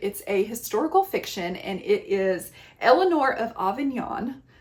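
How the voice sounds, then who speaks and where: A woman speaks with a slight Southern US accent. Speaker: book reviewer. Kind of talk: casual book recommendation talk. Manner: animated.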